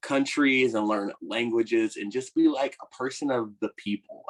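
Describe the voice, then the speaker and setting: In an American accent, a man speaks with an unremarkable speaking voice at a fairly slow pace, with ordinary pitch variation and a dry, close sound with no echo. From Virginia, US. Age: 20s. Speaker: actor. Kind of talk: casual interview chat.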